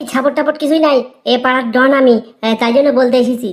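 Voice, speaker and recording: Cartoonish character voice from a woman, high in pitch, at a very fast pace. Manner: stammering when frightened.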